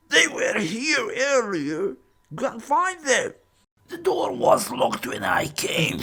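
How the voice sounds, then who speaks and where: In a put-on character voice pitched high, the speaker goes at a fairly slow pace. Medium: audio drama. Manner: menacing, commanding.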